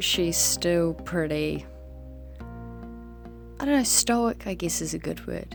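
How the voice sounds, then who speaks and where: A woman talks at a very slow pace over music in the background. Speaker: digital artist. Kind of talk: casual voiceover to speedpaint.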